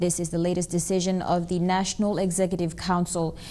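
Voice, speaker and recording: At a fairly quick pace, a woman speaks in a dark, mellow tone. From Papua New Guinea. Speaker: news anchor. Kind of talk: news reading. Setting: studio. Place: studio.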